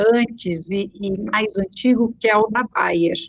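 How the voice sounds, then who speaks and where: The woman has an unremarkable speaking voice. Her pitch is medium, with ordinary pitch variation. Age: 50s. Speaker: psychologist and recruitment company founder. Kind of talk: interview.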